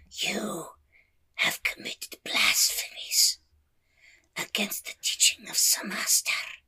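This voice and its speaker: In a raspy, put-on character voice, a man talks at a fairly slow pace with long, frequent pauses. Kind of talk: game master villain voice. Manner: cold, menacing, formal.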